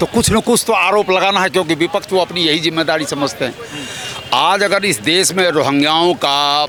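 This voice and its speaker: Noticeable background noise sits behind a man with a high pitch. He talks at a moderate pace with very even loudness and ordinary pitch variation. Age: 60s. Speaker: interviewee in street public interview. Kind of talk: political street interview.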